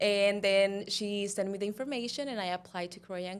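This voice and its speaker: A woman speaks in a Spanish accent with fairly even intonation. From Cuba. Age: 20s. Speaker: model and pageant queen. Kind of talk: interview.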